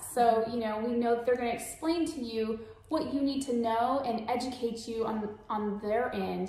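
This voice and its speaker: In an American accent, a woman speaks at a moderate pace with a fairly high pitch. Room echo can be heard. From San Antonio, Texas; Texas. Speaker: mortgage lender. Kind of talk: webinar presentation. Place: home room.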